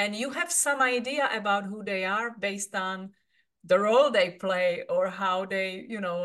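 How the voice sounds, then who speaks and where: Speaking in a Czech accent, a woman talks at a moderate pace and medium pitch with lively intonation. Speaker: podcast host. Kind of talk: interview.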